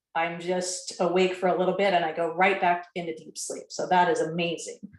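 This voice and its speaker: The speaker is a woman. Her voice carries audible echo from the room. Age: 60s. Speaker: product testimonial giver. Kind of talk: testimony.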